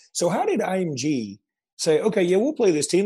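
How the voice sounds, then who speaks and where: Vocal fry runs through this man's speech, which carries a slight Southern US accent and very wide pitch swings. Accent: Southern US accent, mild. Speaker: sports podcast host. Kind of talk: casual chat.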